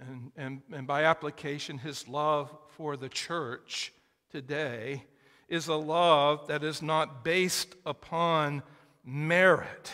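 A man's bright, sharp tone at a very slow pace, with fairly even intonation and a quiet background. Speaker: preacher. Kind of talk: sermon. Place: church.

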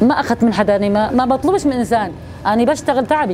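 A woman with a southern Syrian accent talks at a fairly quick pace in a high pitch, with ordinary pitch variation and light background noise. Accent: Hauran southern Syrian Arabic. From Syria, Daraa (Hauran). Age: 60s. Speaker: baker, displaced widow. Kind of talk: interview testimony. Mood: proud, defiant about self-reliance. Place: street.

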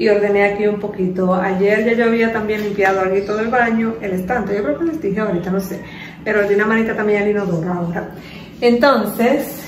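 The pace is fairly quick. Room echo is audible, along with light background noise. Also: woman. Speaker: home vlogger. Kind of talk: casual vlog chat. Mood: relaxed, chatty. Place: kitchen. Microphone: phone near.

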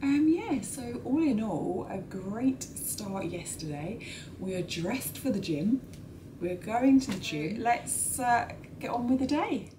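Noticeable background noise sits behind a woman speaking at a very slow pace. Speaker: travel vlogger. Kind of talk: casual vlog chat. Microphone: phone near.

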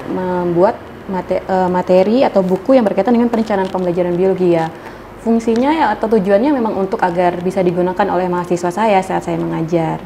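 Light background noise sits under speech at a very fast pace with ordinary pitch variation. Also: woman. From Indonesia, Lampung; Indonesia. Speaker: university lecturer. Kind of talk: interview. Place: studio.

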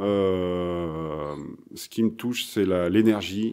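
With ordinary pitch variation, a man talks in a very clean recording with a silent background. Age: 40s. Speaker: blues guitarist. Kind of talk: casual interview. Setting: music bar. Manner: halting.

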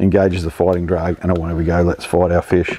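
At a fairly quick pace, a man talks with a slightly mellow tone.

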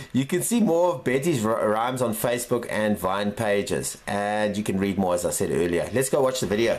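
A normal speaking voice from a man, medium in pitch, with lively intonation, a moderate pace and hardly any pauses. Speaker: news show host. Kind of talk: casual news commentary. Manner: upbeat.

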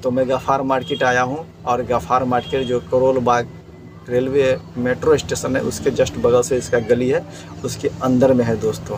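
The pace is moderate. There is little pitch movement. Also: man, medium pitch for a man.

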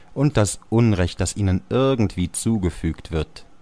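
A man's dark, mellow tone. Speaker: actor and voice speaker. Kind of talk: audiobook literary reading. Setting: studio.

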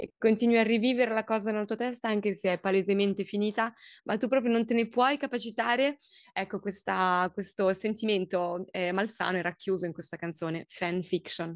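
Speaking at a fairly quick pace, a woman in a French accent has a medium pitch, with a dry sound with no echo and a quiet background. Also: ordinary pitch variation. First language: French (speaking Italian). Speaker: singer-songwriter; interviewee. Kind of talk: interview. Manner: halting, many fillers and repetitions. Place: office. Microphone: video call.

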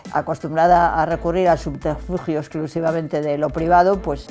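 Against faint music in the background, a woman talks at a fairly quick pace in a very deep, low voice with monotone, flat intonation. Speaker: interviewee. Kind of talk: interview answer. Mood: calm, thoughtful, occasional laugh. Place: studio. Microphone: lapel.

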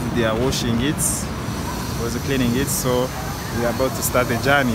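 Loud background noise sits behind a man whose voice sounds dry, with no echo. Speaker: travel vlogger. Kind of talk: casual vlog chat. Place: street. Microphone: phone near.

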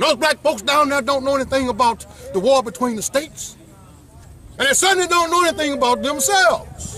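A man with an extremely high pitch speaks in a raised, projected voice with an animated tone, at a fairly quick pace, with long, frequent pauses, ordinary pitch variation and very even loudness. The sound is dry with no echo, with light background noise. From US South. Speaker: heritage activist speaker; speaker. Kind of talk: speech to children at outdoor event. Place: open country. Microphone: phone near.

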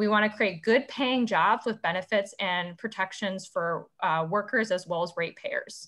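Against a quiet background, a woman with an American accent speaks at a moderate pace with ordinary pitch variation and hardly any pauses. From Illinois (Ottawa); Illinois. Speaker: community organizer; conference presenter. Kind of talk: presentation with slides. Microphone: webcam.

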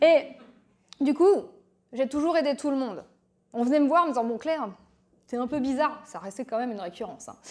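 Her voice is high-pitched, and this woman speaks with lively intonation. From France, Berry; France. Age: 40s. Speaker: coach and entrepreneur; speaker. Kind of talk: public talk to audience. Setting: stage with audience. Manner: animated. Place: hall. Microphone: handheld.

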